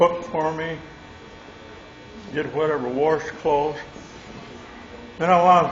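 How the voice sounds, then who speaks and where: Over noticeable background noise and audible room echo, a man with a Midwestern American accent speaks at a fairly high pitch. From Michigan, US Midwest. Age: 90s. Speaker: war veteran. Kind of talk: testimony. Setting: stage with audience.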